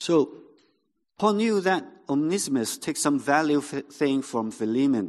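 Against a quiet background, a man speaks at a fairly slow pace. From Hong Kong. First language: Cantonese. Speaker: pastor. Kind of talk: sermon. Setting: church. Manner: halting.

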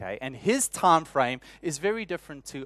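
A man with a South African accent speaks with lively intonation. The sound is dry and close with no echo, and the background is quiet. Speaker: church elder and preacher. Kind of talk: sermon. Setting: church.

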